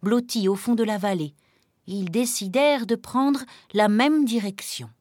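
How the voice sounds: Pitch varies in an ordinary way in this natural reading voice. Nothing much stirs in the quiet background.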